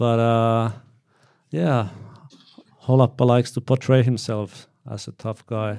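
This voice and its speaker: With a Finnish accent, a man speaks fairly slowly at a medium pitch in a dark, mellow tone, with fairly even intonation and long, frequent pauses, on a very clean recording with a silent background. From Finland. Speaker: actor. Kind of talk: Q&A panel conversation. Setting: stage with audience. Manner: halting.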